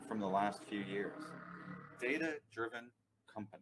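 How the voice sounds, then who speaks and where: A man with an American accent uses a normal speaking voice, medium in pitch, with ordinary pitch variation at a moderate pace. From United States. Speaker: company CEO, data consultant. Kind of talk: webinar presentation. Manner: formal.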